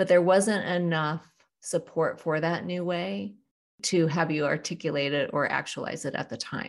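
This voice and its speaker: Vocal fry runs through a woman's fairly low voice as she speaks at a moderate pace. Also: lively intonation, quiet background. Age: 40s to 50s (Gen X). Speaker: executive coach. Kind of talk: interview.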